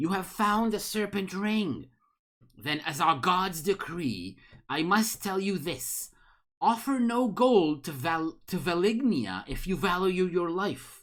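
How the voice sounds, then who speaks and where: A put-on character voice at a middle pitch, hissing, at a fairly slow pace, on a very clean recording with a silent background. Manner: ominous, warning.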